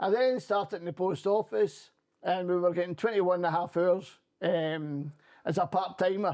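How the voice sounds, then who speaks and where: Speaking with a Scottish accent, a man talks at a moderate pace and high pitch with ordinary pitch variation. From Scotland. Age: 60s. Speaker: former politician and trade union rep. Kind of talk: interview conversation.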